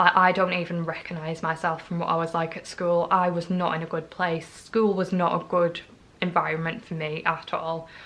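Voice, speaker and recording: The speech comes in a North East England accent at a moderate pace. The intonation is monotone and flat. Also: woman, fairly low pitch for a woman. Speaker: vlogger. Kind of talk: personal testimony vlog.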